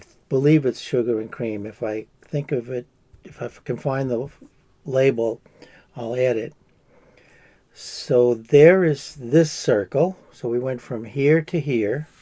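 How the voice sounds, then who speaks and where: A man with an American accent speaks in a medium pitch and a dark, mellow tone, with ordinary pitch variation. His pace is fairly slow, with long, frequent pauses and big swings in loudness. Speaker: crochet artist. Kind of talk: crafting tutorial. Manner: casual, hesitant with fillers.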